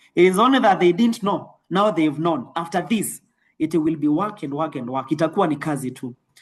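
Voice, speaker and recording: A man's voice with lively intonation. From Kenya, Nairobi. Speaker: network marketing trainer. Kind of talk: motivational training talk. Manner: fast.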